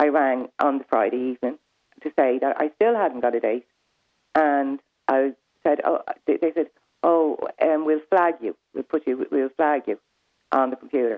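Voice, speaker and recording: This woman's voice is very deep and low in pitch, moving at a moderate pace. Long pauses come often. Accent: Louth. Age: 60s. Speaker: caller. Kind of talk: phone-in call. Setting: phone call.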